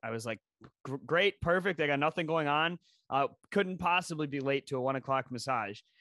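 A man talks at a fairly quick pace in a fairly high pitch with ordinary pitch variation, his sound dry and close with no echo against a quiet background. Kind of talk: stand-up style personal storytelling, casual and profane, comic anecdote. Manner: animated, rapid-fire, narrating with quoted dialogue and swearing.

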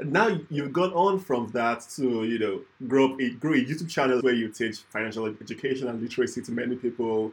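The man has an ordinary speaking voice, pitched in the medium range. His pace is fairly quick, and his pitch moves with ordinary variation. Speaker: podcast host. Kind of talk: interview.

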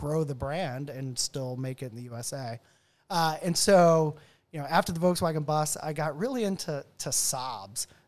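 A man with an American accent speaks in a plain, everyday voice at a fairly high pitch and a moderate pace, with ordinary pitch variation. The recording is very clean, with a silent background. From US South, Nashville area, Tennessee. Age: 40s. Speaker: car enthusiast. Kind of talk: casual chat. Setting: his home garage.

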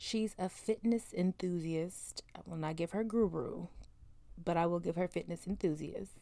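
A soft-spoken woman talks at a moderate pace with a fairly low pitch. Her tone is dark and mellow, with ordinary pitch variation. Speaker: podcast host. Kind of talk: casual chat. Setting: home closet.

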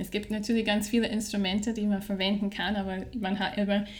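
A woman with a medium-pitched voice is accompanied by noticeable background noise. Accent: Scottish. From Scotland. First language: English (speaking German). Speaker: HR training specialist. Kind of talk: interview.

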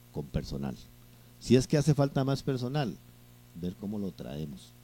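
This man's voice has a dark, mellow tone and moves at a moderate pace. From Costa Rica, Juan Viñas (Cartago). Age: 50s. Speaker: local mayoral candidate. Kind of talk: interview.

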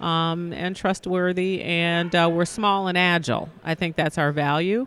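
With an American accent, the speaker goes at a fairly slow pace and fairly even intonation on a very clean recording with a silent background. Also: woman. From US Midwest, Detroit. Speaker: nonprofit foundation executive. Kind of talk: interview.

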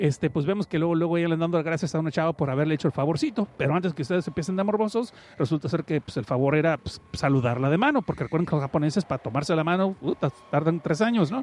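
Here a man talks at a very fast pace. The sound is dry and close, with no echo. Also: ordinary pitch variation. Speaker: podcast host. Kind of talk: casual chat. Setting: online radio stream.

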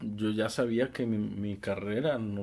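A man speaks in a normal speaking voice with a fairly low pitch, fairly even intonation and a fairly slow pace. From Mexico, Guadalajara. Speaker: engineer. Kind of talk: casual interview.

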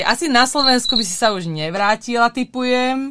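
A woman with a high, bright and sharp voice speaks at a moderate pace, her pitch swinging very widely. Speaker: podcast host. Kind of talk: casual interview.

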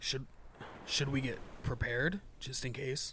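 Putting on a raspy character voice, a man speaks at a moderate pace and medium pitch with fairly even intonation, over clear background noise. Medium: actual play.

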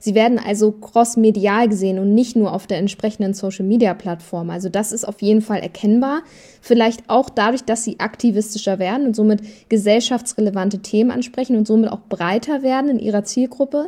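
At a fairly quick pace, a woman with a fairly high pitch speaks in fairly even intonation, somewhat breathy, with a dark, mellow tone. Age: 30s. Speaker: talent manager for influencers. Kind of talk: casual chat.

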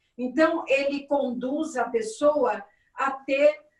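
Speaking with fairly even intonation, a woman has a high pitch. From Minas Gerais, Brazil. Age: 60s. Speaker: candomblé priestess. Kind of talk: interview.

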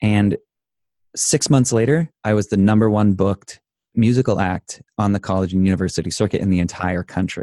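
Someone with an American accent talks at a fairly quick pace in a dark, mellow tone, with very even loudness, ordinary pitch variation, and a dry, close sound without echo. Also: man, fairly low pitch for a man. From Idaho, US. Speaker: life coach and inspirational speaker. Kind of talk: casual interview.

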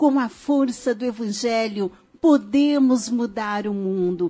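Here a woman speaks with lively intonation. Her tone is dark and mellow. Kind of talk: radio talk show. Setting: radio studio.

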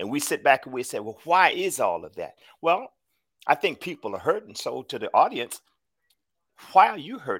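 Recorded with a dry, close sound and no echo, a man speaks fairly quickly with an American accent. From US South. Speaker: podcast co-host, motivational speaker. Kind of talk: casual motivational chat.

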